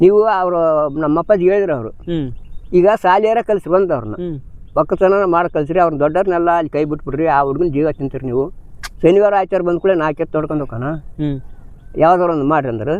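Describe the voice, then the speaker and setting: High-pitched for a man, this voice belongs to a male speaker. The rise and fall of his pitch is ordinary. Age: old. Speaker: farmer. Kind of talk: interview answer, life story. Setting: outdoors.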